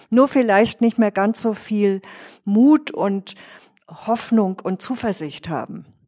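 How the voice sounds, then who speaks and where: In a dry, close sound with no echo, a woman speaks very slowly with a dark, mellow tone at a fairly high pitch. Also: ordinary pitch variation. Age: old. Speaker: psychotherapist. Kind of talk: casual group conversation.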